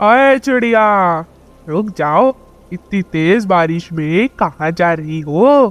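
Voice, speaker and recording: A man uses a cartoonish character voice with a high pitch. He speaks at a very slow pace. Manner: menacing.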